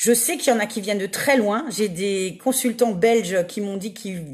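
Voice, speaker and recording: A woman with a fairly high pitch talks at a moderate pace with lively intonation. Her tone is enthusiastic and somewhat breathy. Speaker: medium. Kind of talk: livestream casual talk. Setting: Facebook live video. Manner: many fillers (euh).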